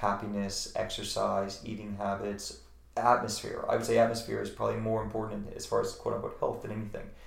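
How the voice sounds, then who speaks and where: Fairly rapid male talk with noticeable noise in the background. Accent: American. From Virginia, rural. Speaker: natural medicine practitioner, former model. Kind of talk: casual interview.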